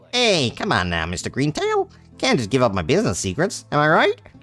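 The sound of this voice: A man puts on a character voice with very wide pitch swings, a fairly bright tone and fairly high pitch. He talks at a fairly quick pace over faint background music.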